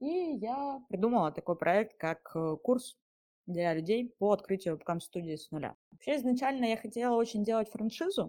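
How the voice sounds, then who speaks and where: In a very clean recording with a silent background, a woman with a dark, mellow tone speaks at a fairly high pitch, her voice swinging very widely. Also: moderate pace. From Siberia, Russia (Mezhdurechensk). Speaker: webcam studio owner. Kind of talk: first-person storytelling.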